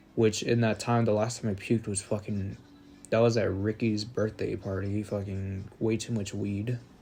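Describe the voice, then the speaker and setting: Over music in the background, a man speaks at a moderate pace in a fairly low pitch with monotone, flat intonation. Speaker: podcast host. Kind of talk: casual monologue. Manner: skips words.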